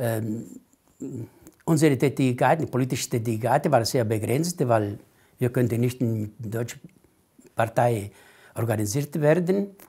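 A man with an Italian accent and a dark, mellow, somewhat breathy tone, at a very slow pace with long, frequent pauses and ordinary pitch variation, against a quiet background. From Italy. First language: Italian (speaking German). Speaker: Italian immigrant association leader; interviewee. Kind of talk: oral history interview. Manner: halting, many hesitations. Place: home room. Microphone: lapel.

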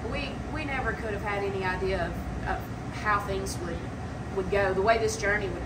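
A woman talks at a very fast pace. Loud background noise fills the recording. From Alabama, Marengo County. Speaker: country store owner. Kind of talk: interview. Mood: earnest, heartfelt. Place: shop. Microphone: camera far.

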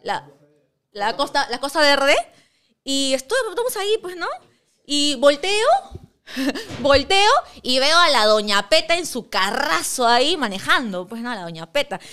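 Projecting her voice in an animated tone, a woman speaks fairly slowly at a high pitch, with very wide pitch swings, big swings in loudness, and long, frequent pauses. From Peru. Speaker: sports show host. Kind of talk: casual sports talk show. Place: studio. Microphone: studio mic.

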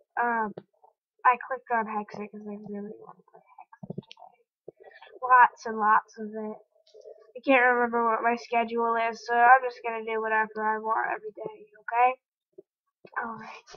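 Quiet, monotone, flat speech with long, frequent pauses and big swings in loudness. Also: woman, fairly high pitch for a woman, moderate pace. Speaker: gaming youtuber. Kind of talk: gameplay commentary.

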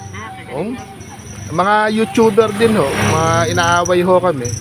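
Fairly quick speech from a man with a high voice, plus noticeable background noise and audible room echo. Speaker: charity vlogger. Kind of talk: vlog narration to camera.

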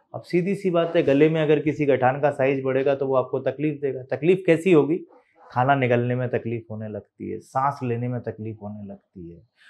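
A man's voice at a moderate pace, with big swings in loudness and ordinary pitch variation. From India. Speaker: doctor. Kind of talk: health explainer video. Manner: casual, conversational. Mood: calm, reassuring. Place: office.

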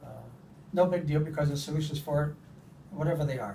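Light background noise runs under a man talking at a very fast pace. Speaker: patient. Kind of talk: patient testimonial interview. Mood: relaxed, content. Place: office. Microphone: phone near.

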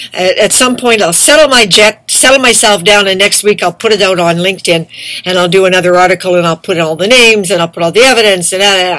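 The delivery is very fast, with hardly any pauses. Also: woman, medium pitch for a woman, ordinary pitch variation. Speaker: activist vlogger. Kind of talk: angry monologue. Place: home room. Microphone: webcam.

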